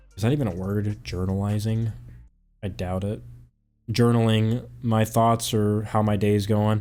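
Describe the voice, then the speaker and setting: Recorded very cleanly over a silent background, a man speaks. His pace is moderate. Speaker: gaming YouTuber. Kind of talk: casual gameplay chat. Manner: monotone.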